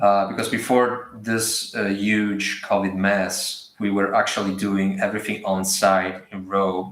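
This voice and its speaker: In an Italian accent, a man talks at a very slow pace and fairly low pitch with audible room echo. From Italy. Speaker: artist and art teacher. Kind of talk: live drawing demo. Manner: hesitant.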